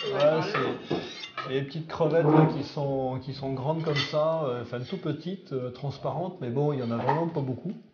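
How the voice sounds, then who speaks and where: Audible room echo and noticeable background noise surround a man whose fairly high voice keeps a fairly even intonation. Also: moderate pace. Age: 50s. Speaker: cave diver. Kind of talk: documentary interview. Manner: halting, many hesitations.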